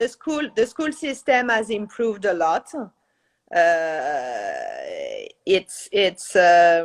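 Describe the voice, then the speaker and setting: Speaking very slowly with a French accent, a woman uses a fairly high pitch that swings very widely. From France. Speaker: realtor. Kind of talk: interview on a live stream. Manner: halting, many fillers.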